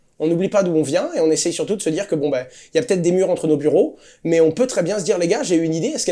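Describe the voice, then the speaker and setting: High-pitched male voice, dark and mellow in tone, on a very clean recording over a silent background. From Corsica, France. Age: 20s. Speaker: crypto entrepreneur and YouTuber. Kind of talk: interview. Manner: fast, with fillers and repetitions.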